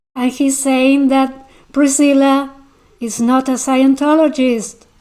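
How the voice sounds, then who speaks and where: A woman's high, dark and mellow voice with an Argentine accent, monotone and flat in intonation, at a very slow pace. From Argentina. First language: Spanish. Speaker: YouTube commentator. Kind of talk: livestream commentary reading chat. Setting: livestream. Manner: halting, repeats words.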